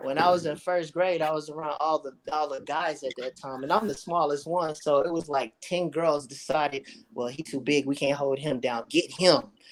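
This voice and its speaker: This man's voice sits fairly high. He keeps a moderate pace. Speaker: live stream participant. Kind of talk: casual chat. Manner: animated storytelling.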